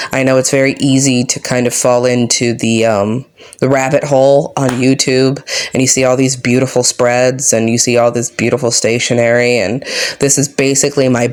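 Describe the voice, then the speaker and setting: Monotone, flat intonation from a woman with a very deep, low pitch, over noticeable background noise. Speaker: book journaling YouTuber. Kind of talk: casual craft tutorial vlog.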